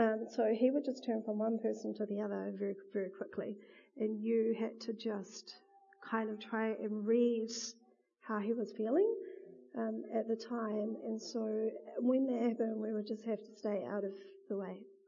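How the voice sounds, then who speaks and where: A flat, monotone delivery with a New Zealand accent. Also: woman, fairly high pitch for a woman, moderate pace. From New Zealand, Wellington region. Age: 30s. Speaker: churchgoer giving testimony. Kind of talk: testimony interview.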